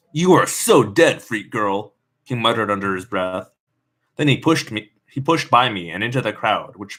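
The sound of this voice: Quiet surroundings behind an unforced reading voice full of lively intonation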